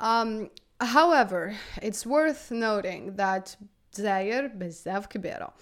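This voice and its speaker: Her intonation is lively, and this woman's pitch is fairly high. The recording is very clean, with a silent background. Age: 20s. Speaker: podcast host. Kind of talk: solo monologue. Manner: halting, with frequent repetitions.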